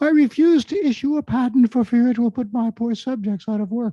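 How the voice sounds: A put-on character voice with a fairly high pitch talks at a fairly quick pace.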